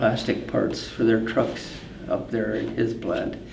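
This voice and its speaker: Amid noticeable background noise and audible room echo, a man with an American accent speaks at a fairly slow pace. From US Upper Midwest, northwest Minnesota. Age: 80s+. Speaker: farm equipment company founder. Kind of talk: interview. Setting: farm show event.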